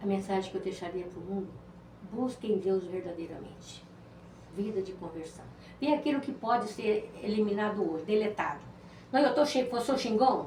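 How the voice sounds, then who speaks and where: A woman at medium pitch speaks at a moderate pace with lively intonation, big swings in loudness and long, frequent pauses, with audible room echo. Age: 70s. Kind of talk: interview testimony. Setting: podcast.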